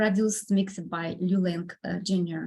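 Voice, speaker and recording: Somewhat breathy and at a medium pitch, a woman speaks very slowly in a Russian accent with fairly even intonation. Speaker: composer and pianist. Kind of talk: podcast interview. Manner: halting, many fillers.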